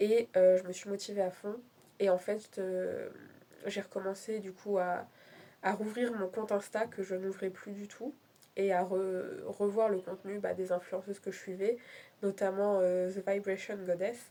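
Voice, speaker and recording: A woman's flat, monotone delivery sits at a medium pitch and moves fairly slowly. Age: 20s. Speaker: vlogger. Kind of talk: casual chat. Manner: halting.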